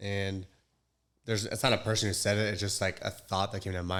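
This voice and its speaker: A man with an American accent and a very deep, low pitch speaks in a monotone, flat intonation in a very clean recording with a silent background. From Southern California (Orange County). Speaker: former navy seal and firearms instructor. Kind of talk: casual interview chat.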